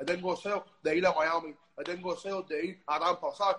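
In a Cuban accent, a man speaks at a high pitch. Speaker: music promoter. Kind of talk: casual interview. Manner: halting, with many repetitions.

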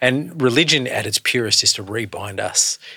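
A man with an Australian accent and a bright, sharp tone. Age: 40s. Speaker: pastor and podcast host. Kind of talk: casual chat.

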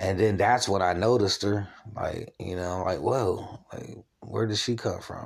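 Delivered with a plain, everyday voice, the speech moves at a fairly slow pace with fairly even intonation. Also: man, fairly low pitch for a man. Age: 40s. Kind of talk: personal religious monologue. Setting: at home, solo recording. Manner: rambling casual with fillers.

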